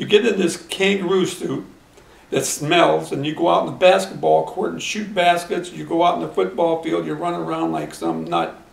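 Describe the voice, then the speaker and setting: This man has an American accent and talks at a moderate pace. Noticeable background noise and audible room echo come through. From Akron, Ohio, US Midwest. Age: 70s. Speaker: retired teacher and track coach. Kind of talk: interview.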